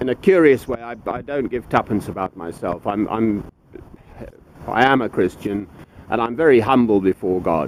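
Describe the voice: With lively intonation, a man talks at a moderate pace in a fairly low pitch.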